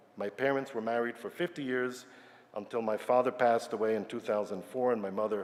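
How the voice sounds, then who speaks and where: Amid noticeable background noise, a man with an American accent talks at a very fast pace, with medium pitch and ordinary pitch variation. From Yugoslavia and New York. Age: 60s. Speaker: retired scientist. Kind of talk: personal talk to congregation.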